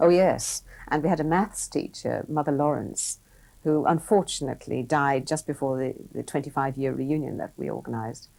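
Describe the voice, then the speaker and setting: A woman's moderately paced speech is captured in a very clean recording over a silent background. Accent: Irish. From Ireland. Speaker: business executive. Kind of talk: interview.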